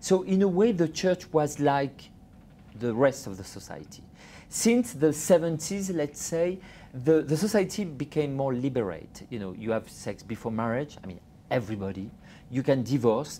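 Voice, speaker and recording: The speaker talks at a moderate pace with a French accent. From France. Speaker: journalist and author. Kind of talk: interview. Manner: halting.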